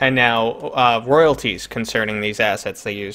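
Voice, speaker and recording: At a fairly slow pace, a man speaks at a medium pitch with fairly even intonation. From New York City. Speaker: gaming channel host. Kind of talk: live stream interview.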